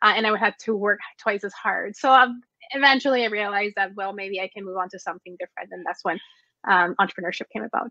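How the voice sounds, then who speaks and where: Speaking very fast with a Spanish accent, a woman uses a medium pitch and ordinary pitch variation in a bright, sharp tone, her loudness swinging widely in a dry, close sound with no echo. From Mexico. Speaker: entrepreneur and business consultant. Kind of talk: interview.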